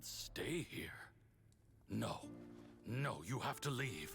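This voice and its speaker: Over clear music in the background, a man growls in a put-on character voice at a medium pitch. He goes at a very slow pace. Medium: video game. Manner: confused, halting.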